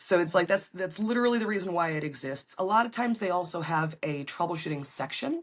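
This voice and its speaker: Noticeable background noise sits behind a woman's medium-pitched voice. Her pitch swings very widely. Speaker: appliance repair technician. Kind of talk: podcast interview answer.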